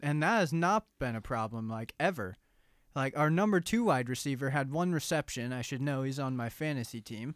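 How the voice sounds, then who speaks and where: A man with a plain, everyday voice speaks at a moderate pace and fairly high pitch, his intonation lively. The recording is very clean with a silent background and a dry, close sound with no echo. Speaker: college radio host. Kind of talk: casual chat.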